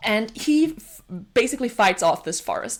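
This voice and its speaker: A woman speaks with a Danish accent at a moderate pace. Her tone is animated. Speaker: book reviewer. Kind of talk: casual book review monologue.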